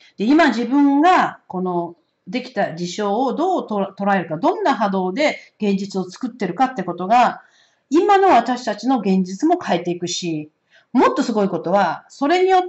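A woman speaks in a high pitch with very wide pitch swings. Her pace is moderate against a quiet background. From Japan. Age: 60s. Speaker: oracle card reader and astrologer; oracle card reader. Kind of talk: solo spiritual card-reading talk. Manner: casual, many hesitation fillers. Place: home room. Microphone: camera far.

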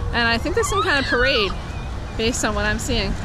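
Noticeable background noise in a dry sound with no echo. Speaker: family vlogger. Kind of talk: casual vlog chat. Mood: cheerful, light laughing. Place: street. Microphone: phone near.

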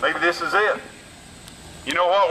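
A man speaks in a raised, projected voice. There is noticeable background noise. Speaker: street preacher. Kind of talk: street preaching sermon. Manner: urgent, exhorting.

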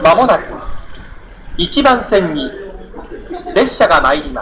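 The speech moves at a fairly slow pace. Light background noise sits behind it. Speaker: automated station announcement voice. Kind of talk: station platform announcement. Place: station.

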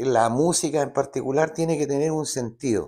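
A man with a Chilean accent speaks in a fairly high pitch with a dark, mellow tone. His pitch varies in an ordinary way against a quiet background. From Chile, Santiago. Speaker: singer-songwriter; guest. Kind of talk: interview. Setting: studio. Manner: halting. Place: studio. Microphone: lapel.

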